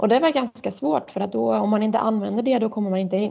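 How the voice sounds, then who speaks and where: Woman's voice, medium in pitch, with a dark, mellow tone. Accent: Swiss. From Switzerland. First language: Swiss German (speaking Swedish). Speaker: floorball goalkeeper. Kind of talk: interview.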